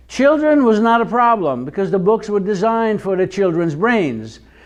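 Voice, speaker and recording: A man with an Israeli accent talks at a moderate pace with very wide pitch swings, in audible room echo. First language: Hebrew. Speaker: Hebrew teacher. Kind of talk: lecture.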